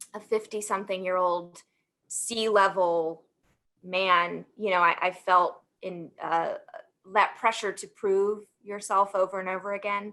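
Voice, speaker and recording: In a very clean recording with a silent background, a woman with a slight Southern US accent speaks fairly slowly at a medium pitch, her bright, sharp tone flat and monotone, with big swings in loudness. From US South, Alabama. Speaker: sports marketing professional. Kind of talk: panel discussion.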